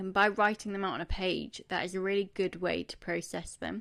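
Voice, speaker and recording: Speaking at a moderate pace in a British accent, a woman with a medium pitch comes through on a very clean recording with a silent background. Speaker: podcast host. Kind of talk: casual monologue.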